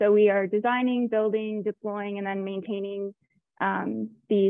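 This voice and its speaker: In an American accent, a woman speaks at a moderate pace and a medium pitch. Hers is an unremarkable speaking voice. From Florida, US. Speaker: technical project manager, engineer. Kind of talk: webinar panel introduction.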